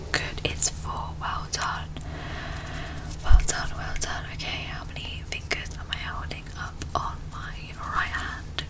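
A woman speaks very slowly while loud noise fills the background. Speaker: ASMR creator. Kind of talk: ASMR personal attention instructions. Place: home room. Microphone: studio mic.

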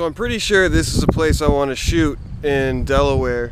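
Noticeable background noise behind a dry, echo-free male voice. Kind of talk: casual vlog chat. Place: street. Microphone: phone near.

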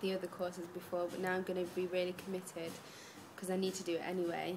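A woman speaks with an East Midlands accent. Light background noise can be heard. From Derby, England; England. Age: 20s. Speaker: young mother on a diet. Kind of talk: interview answers. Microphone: webcam.

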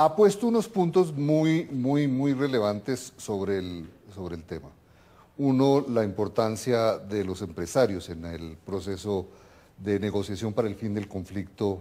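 With a Colombian accent, a man speaks at a fairly slow pace in a fairly low pitch and a dark, mellow tone, his intonation lively and his loudness swinging widely. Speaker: TV host, political scientist; TV program host. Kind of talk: TV interview. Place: home room. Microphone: lapel.

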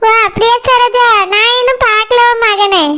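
A woman's cartoonish character voice, extremely high in pitch, at a fairly slow pace with fairly even intonation

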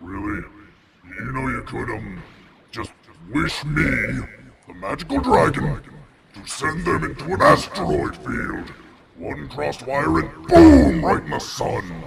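Using a put-on character voice with a fairly low pitch, a man speaks at a fairly slow pace, leaving long, frequent pauses. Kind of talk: comic parody dubbing. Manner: bored, sarcastic, grumpy.

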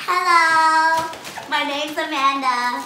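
A female-sounding voice is performed as a squeaky, high-pitched put-on character at a fairly slow pace. Clear background noise and a slight echo come through. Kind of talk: playful joke talk. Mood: giggly, amused.

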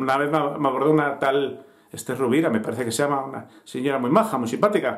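At a fast pace, a man speaks with medium pitch and ordinary pitch variation.

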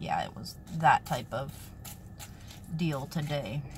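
Light background noise sits behind a woman's voice. She speaks with ordinary pitch variation. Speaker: vlogger. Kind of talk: casual vlog chat. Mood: relaxed, chatty. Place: car. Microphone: phone near.

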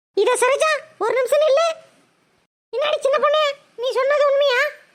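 In a cartoonish character voice, a woman sounds squeaky and extremely high-pitched as she talks at a moderate pace. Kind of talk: Tamil village colloquial. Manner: loud, scolding.

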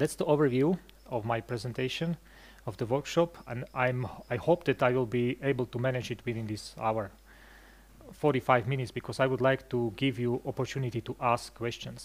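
A man at a moderate pace, his pitch varying in an ordinary way. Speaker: presenter. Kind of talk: lecture. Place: hall. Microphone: headset.

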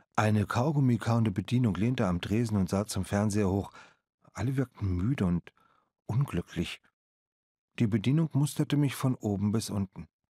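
A man speaks at a fairly low pitch with a dark, mellow tone, leaving long, frequent pauses. The recording is very clean with a silent background and a dry, close sound with no echo. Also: ordinary pitch variation, moderate pace. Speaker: audiobook narrator. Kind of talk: audiobook narration, first-person reading of a boy's story. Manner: measured storyteller pace, with voices for the waitress.

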